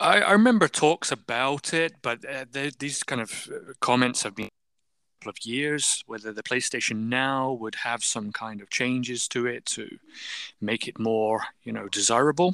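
Recorded very cleanly with a silent background and a dry, close sound with no echo, a man with a British accent speaks at a moderate pace in a bright, sharp tone, with big swings in loudness. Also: medium pitch for a man, ordinary pitch variation. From UK. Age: 40s. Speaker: podcast guest. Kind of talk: casual chat.

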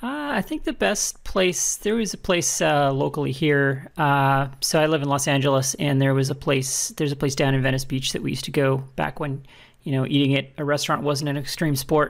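Moderate-paced speech in a Canadian accent, with hardly any pauses and ordinary pitch variation, in a very clean recording with a silent background. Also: woman, very deep, low pitch for a woman. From Alberta, Canada. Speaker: podcast guest. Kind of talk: casual chat.

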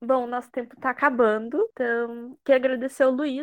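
A woman speaks at a high pitch and a fairly quick pace. The sound is dry and close with no echo, over a quiet background. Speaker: student podcast host. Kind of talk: casual interview.

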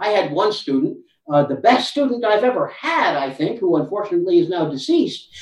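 Intonation rises and falls in a lively way as a man talks in an American accent. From United States. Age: 60s. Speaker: anthropology professor. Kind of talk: interview.

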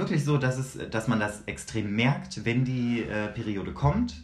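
With lively intonation, a man speaks at a very slow pace in a space with audible room echo. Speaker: podcast co-host. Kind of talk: casual chat.

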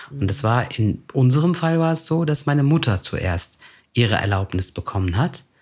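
A man's somewhat breathy, medium-pitched voice at a moderate pace, with very wide pitch swings. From Germany, Turkish immigrant family. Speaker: podcast host. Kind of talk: casual chat.

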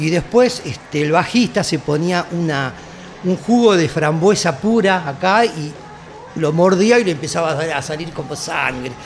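Speaking with a Rioplatense accent at a high pitch, a man talks at a fairly slow pace with ordinary pitch variation, over noticeable background noise and audible room echo. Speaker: heavy metal singer. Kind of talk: casual chat.

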